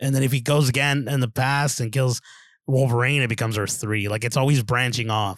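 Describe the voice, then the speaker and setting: A man with a normal speaking voice talks at a fairly quick pace on a very clean recording with a silent background. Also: medium pitch for a man, fairly even intonation. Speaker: podcast co-host. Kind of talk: casual banter about movies.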